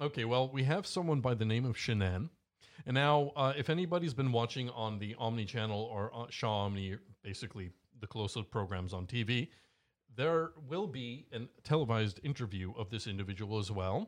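A normal speaking voice with a Canadian accent, lively intonation and a fairly quick pace over a quiet background. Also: man, medium pitch for a man. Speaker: talk show co-host. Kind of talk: casual chat. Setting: studio. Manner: joking.

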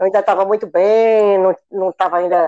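A woman's medium-pitched voice in a dark, mellow tone with a dry, close sound and no echo. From Ceará, Brazil (interior). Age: 60s. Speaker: retired school principal and teacher. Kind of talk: personal testimony in interview.

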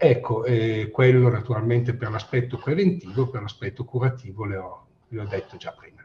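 A man with an unremarkable speaking voice at medium pitch speaks at a moderate pace, with ordinary pitch variation and big swings in loudness. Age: 60s. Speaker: infectious disease professor. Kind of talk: interview.

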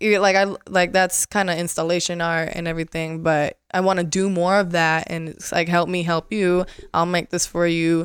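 An American accent in a monotone, flat delivery at a moderate pace, with hardly any pauses and a very clean recording over a silent background. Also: woman, fairly low pitch for a woman. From Las Vegas, US. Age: 20s. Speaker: TikTok creator. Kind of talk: casual interview chat. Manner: goofy, humorous.

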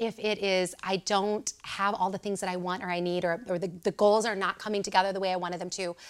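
With an American accent, a woman at a medium pitch speaks very fast in an animated tone, hardly pausing at all. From Southern Illinois. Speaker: confidence coach. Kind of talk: interview.

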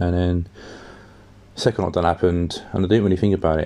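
With a southern English accent, a man talks in a very deep, low pitch and monotone, flat intonation. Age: 20s. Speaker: podcast host. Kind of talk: casual solo monologue.

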